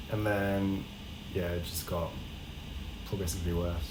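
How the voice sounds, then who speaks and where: Noticeable background noise and audible room echo around a man's voice at a moderate pace. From France. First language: French. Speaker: podcast co-host. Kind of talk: casual chat.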